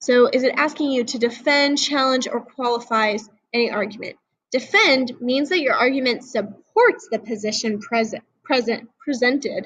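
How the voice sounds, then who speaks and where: This is a woman with a high-pitched voice. Her pitch varies in an ordinary way. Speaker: high school teacher. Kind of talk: lecture. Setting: recorded video lesson. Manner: fast; casual.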